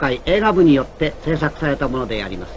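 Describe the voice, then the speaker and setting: Lively intonation over noticeable background noise. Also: man. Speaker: radio announcer. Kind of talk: documentary narration.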